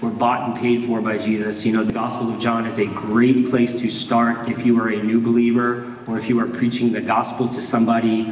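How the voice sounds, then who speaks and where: Speaking at a fairly quick pace with hardly any pauses, a man keeps a flat monotone, amid audible room echo and light background noise. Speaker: pastor. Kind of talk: sermon. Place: church.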